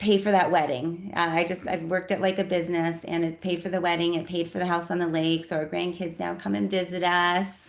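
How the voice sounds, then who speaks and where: Fairly quick speech in a General American accent, with hardly any pauses. It is a plain, everyday voice against a quiet background. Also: woman, fairly low pitch for a woman, fairly even intonation. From Colorado. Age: 50s. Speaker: network marketing presenter. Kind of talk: business presentation.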